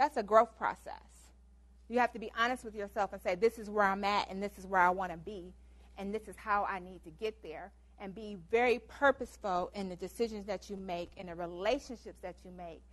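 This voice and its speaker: Fairly quick speech from a woman at medium pitch, with fairly even intonation and big swings in loudness. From US Midwest, Detroit Michigan. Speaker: guest lecturer. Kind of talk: lecture. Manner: fast.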